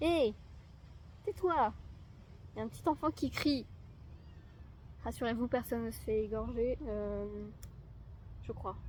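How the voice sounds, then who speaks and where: A woman talks fairly slowly, with long, frequent pauses breaking up her words. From France. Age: young. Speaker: lifestyle vlogger. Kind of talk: casual talk to camera.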